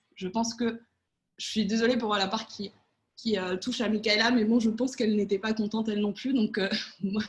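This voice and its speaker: Her fairly high-pitched, somewhat breathy voice moves at a fairly quick pace in a monotone, flat intonation. This woman leaves long, frequent pauses. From Spain and France. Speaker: political adviser. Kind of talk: online panel debate. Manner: hesitant, many fillers.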